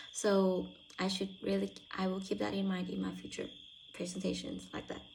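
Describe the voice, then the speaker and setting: In a room with audible echo, a woman talks at a moderate pace and medium pitch. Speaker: university student. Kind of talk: spoken self-reflection. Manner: halting.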